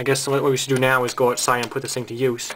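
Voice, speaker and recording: A man talks very fast while light noise sits in the background. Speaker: hobbyist demonstrator. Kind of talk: tutorial. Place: home room.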